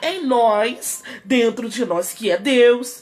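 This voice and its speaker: A woman is speaking here. Her pitch is high. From Rio de Janeiro, Brazil. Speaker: pastor. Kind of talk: sermon.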